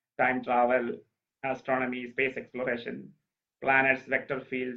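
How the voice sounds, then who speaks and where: The speaker has a Keralan accent and keeps a moderate pace. The intonation is fairly even. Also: man. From Kerala, India. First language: Malayalam. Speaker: speaker on ancient Indian texts, former space scientist. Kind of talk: talk. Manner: halting.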